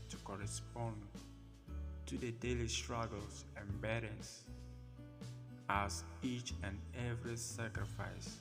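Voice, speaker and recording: Over music in the background, a man with a very deep, low pitch speaks very slowly, with very wide pitch swings and long, frequent pauses. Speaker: poet, spoken word artist. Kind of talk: spoken word poetry reading.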